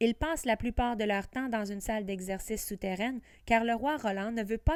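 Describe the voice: Someone reads aloud in a plain manner. The pitch shifts about as much as usual.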